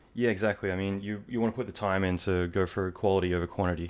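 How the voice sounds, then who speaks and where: Over a quiet background, a man with a fairly low pitch speaks at a very fast pace with fairly even intonation. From Australia. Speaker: visual effects artist and podcast host. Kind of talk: interview conversation.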